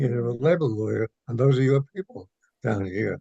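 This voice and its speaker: A man's dark, mellow, somewhat breathy voice moves at a moderate pace with ordinary pitch variation. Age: 80s+. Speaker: retired school principal and arts educator. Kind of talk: interview answer. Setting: phone line.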